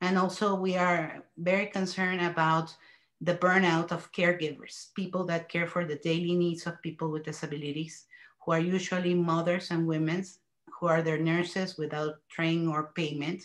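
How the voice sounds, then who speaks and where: Against a quiet background, a woman with a Mexican accent speaks at a moderate pace in a fairly low pitch, her intonation monotone and flat. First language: Spanish. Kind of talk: panel discussion. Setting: video call.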